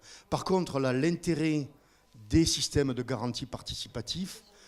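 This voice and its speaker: Fairly high in pitch, a man talks at a fairly slow pace with ordinary pitch variation. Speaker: organic farmer. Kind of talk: audience comment in a panel discussion. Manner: halting.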